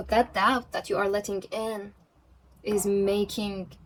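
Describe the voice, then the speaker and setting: Fairly high female voice with a non-native accent. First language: not English. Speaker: tarot reader. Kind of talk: pick-a-card tarot reading. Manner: halting, self-correcting.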